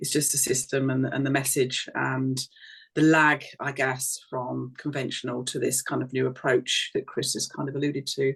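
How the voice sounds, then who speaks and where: With an Essex accent, a woman speaks at a moderate pace in a very deep, low, somewhat breathy voice. Her intonation is monotone and flat. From Essex, England. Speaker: doctor. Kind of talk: casual chat.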